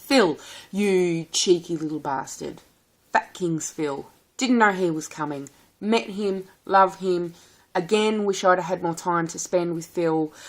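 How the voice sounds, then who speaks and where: A woman with a strong rural Australian accent, fairly low pitch, ordinary pitch variation, and a very slow pace. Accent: strong country Australian. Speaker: vlogger. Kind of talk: casual vlog. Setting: recorded at home, sitting at a table. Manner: warm and animated.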